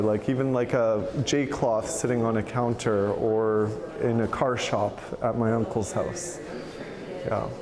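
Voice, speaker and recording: Noticeable background noise under a man's medium-pitched speech. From Canada, Anishinaabe First Nation. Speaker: multidisciplinary artist, beadwork. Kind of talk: interview answer. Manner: casual, many fillers.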